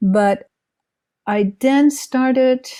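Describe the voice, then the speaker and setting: A woman's dark, mellow tone in a Dutch accent, with ordinary pitch variation. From Netherlands. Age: 70s. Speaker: author and retired therapist. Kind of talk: interview. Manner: halting.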